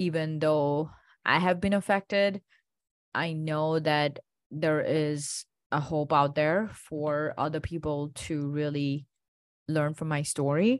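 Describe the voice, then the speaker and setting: Against a quiet background, a woman with an Indian accent speaks very slowly in a very deep, low pitch with fairly even intonation. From India (Gujarat). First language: Indian language. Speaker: functional medicine doctor. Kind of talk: interview.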